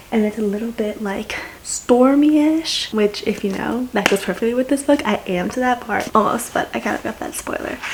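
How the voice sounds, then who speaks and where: A woman's fairly high-pitched voice at a moderate pace, hardly any pauses, noticeable background noise. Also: ordinary pitch variation. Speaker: booktuber. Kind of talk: reading vlog, casual chat to camera. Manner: animated.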